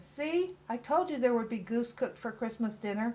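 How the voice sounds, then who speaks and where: A woman's put-on character voice, high in pitch. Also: moderate pace. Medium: read story. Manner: fretful.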